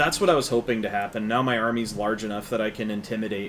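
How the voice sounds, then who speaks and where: Over noticeable background noise, a man talks very fast at a fairly low pitch with fairly even intonation. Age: 30s. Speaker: video game let's player. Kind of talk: casual gameplay commentary. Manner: relaxed, halting with repetitions.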